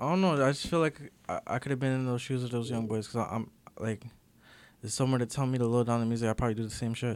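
Here a man speaks very fast with a Toronto accent. His intonation stays fairly even. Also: medium pitch for a man. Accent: Toronto urban Canadian English. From Toronto, Canada (Jane and Weston area). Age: 20s. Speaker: rapper. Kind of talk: casual interview.

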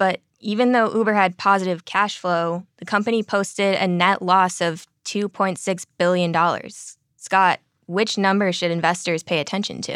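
A woman with an ordinary speaking voice and a medium pitch talks at a moderate pace with hardly any pauses and fairly even intonation, in a dry, close sound with no echo. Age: 20s. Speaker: podcast co-host. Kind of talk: scripted news reading.

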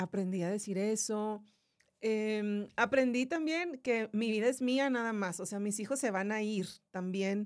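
On a very clean recording with a silent background, a woman talks at a fairly slow pace in a fairly high pitch with ordinary pitch variation. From Monterrey, northern Mexico. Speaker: YouTuber and radio announcer, cancer survivor. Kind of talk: casual interview chat.

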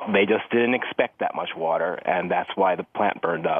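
With an ordinary speaking voice, a man talks at a moderate pace in a fairly low pitch. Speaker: chemical industry reporter. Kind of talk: news interview.

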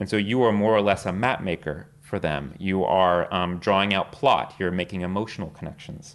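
A man talks with an ordinary speaking voice. His pitch is fairly low, with ordinary pitch variation. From Texas. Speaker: screenwriter. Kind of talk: lecture.

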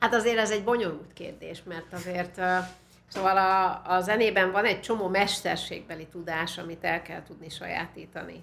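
An animated woman's voice at medium pitch and moderate pace, with vocal fry and big swings in loudness. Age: 60s. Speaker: musicologist and university teacher. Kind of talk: interview conversation.

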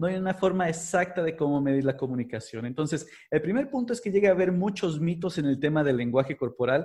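A fairly quick man's voice in a Mexican accent, dark and mellow in tone, with ordinary pitch variation and a quiet background. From Mexico, Puebla. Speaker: body language expert. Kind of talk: interview.

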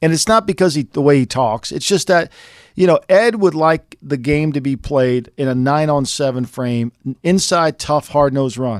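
A man's fairly high-pitched, plain, everyday voice at a moderate pace with lively intonation, dry and close with no echo, in a very clean recording over a silent background. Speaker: sports journalist. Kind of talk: sports analysis discussion.

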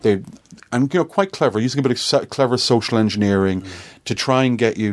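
A man with an Irish accent talks at a medium pitch with lively intonation. The recording is very clean, with a silent background. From Ireland. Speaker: tech company CEO. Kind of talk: casual chat. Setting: office.

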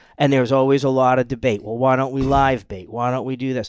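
An ordinary speaking voice with an American accent moves at a moderate pace. The intonation is fairly even. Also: man. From US Northeast, Rhode Island. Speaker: fishing boat captain. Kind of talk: casual chat.

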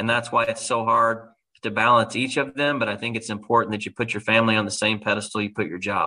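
A man's medium-pitched voice with an American accent, a bright, sharp tone, and a fairly quick pace. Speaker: pro sports team executive. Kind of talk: interview podcast.

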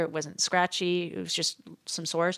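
A woman's normal speaking voice at medium pitch, fairly quick and with fairly even intonation. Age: 50s. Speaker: podcast co-host. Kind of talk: casual chat.

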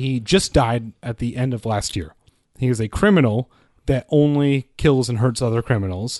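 Here a man uses an ordinary speaking voice at medium pitch and a moderate pace, with ordinary pitch variation. The sound is dry and close with no echo, over a quiet background. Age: 20s. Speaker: podcast guest. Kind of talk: casual chat.

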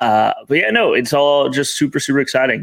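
A man with an American accent, fairly even intonation, and a moderate pace

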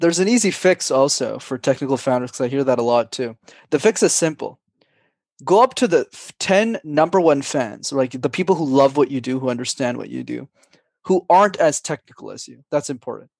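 A man with a normal speaking voice talks at a fairly quick pace, his fairly high pitch carried by lively intonation and big swings in loudness. The sound is dry and close with no echo, over a quiet background. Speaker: public speaking coach. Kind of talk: interview.

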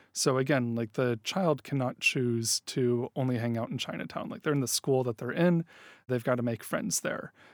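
With an ordinary speaking voice, a man speaks at a moderate pace and medium pitch with ordinary pitch variation, the sound dry and close with no echo on a very clean recording against a silent background. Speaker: psychology professor. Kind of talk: interview about research, explanatory.

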